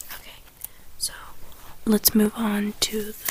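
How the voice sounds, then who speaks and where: The voice is a whisper. Behind it, background noise is noticeable. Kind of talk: ASMR tea tasting talk to camera. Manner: whispered.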